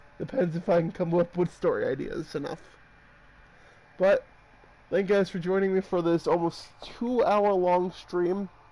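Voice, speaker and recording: A man with a high pitch and fairly even intonation speaks at a moderate pace, pausing long and often. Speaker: gaming streamer. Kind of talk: live gameplay stream chat. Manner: slurring words.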